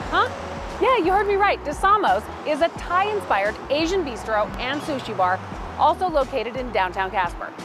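A woman talks at a moderate pace. Clear music plays behind her, and the sound is dry with no echo. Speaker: local guide. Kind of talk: presenter to camera, promotional. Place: street.

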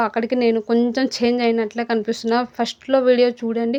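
A woman's fairly high voice with a non-native accent. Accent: non-fluent Telugu. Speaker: cooking YouTuber. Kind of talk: casual vlog talk. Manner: halting, stumbling.

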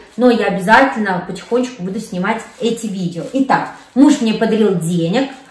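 With audible room echo, a woman speaks at a moderate pace and ordinary pitch variation. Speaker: vlogger. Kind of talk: casual vlog chat. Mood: warm, cheerful. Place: kitchen.

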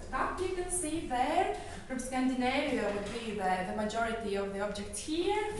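A woman at a moderate pace with hardly any pauses, very wide pitch swings, strong room echo and light background noise. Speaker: tour guide. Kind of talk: guided museum tour. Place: hall. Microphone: camera far.

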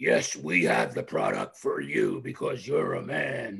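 The voice is a raspy, put-on character. A man gives it at a fairly slow pace. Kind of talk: hard-sell, ad voice.

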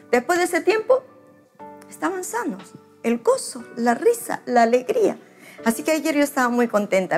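A woman talks at a moderate pace while faint music plays in the background. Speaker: pastor. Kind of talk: sermon. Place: home room. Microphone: lapel.

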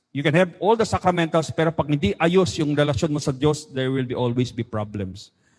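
A man speaks at a fairly quick pace and a fairly high pitch, somewhat breathy, with lively intonation. The recording is very clean with a silent background and a dry, close sound with no echo. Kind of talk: talk or homily.

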